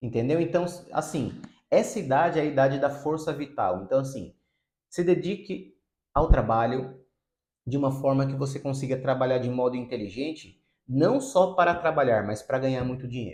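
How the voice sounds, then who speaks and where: Somewhat breathy, a man speaks at a fairly high pitch and a moderate pace with ordinary pitch variation. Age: 30s. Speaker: psychotherapist. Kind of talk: video monologue.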